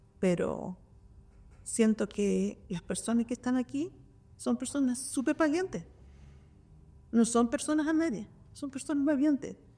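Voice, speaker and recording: With a high pitch and a dark, mellow tone, a woman speaks at a moderate pace. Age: 60s. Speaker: kindergarten director. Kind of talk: panel discussion. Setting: public library event with audience. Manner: halting.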